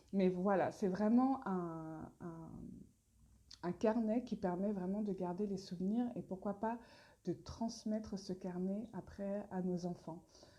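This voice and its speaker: At a very slow pace, the voice sounds dark and mellow, somewhat breathy, with fairly even intonation. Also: woman, medium pitch for a woman. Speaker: brand founder presenting products. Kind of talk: live stream Q&A. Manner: hesitant, many fillers.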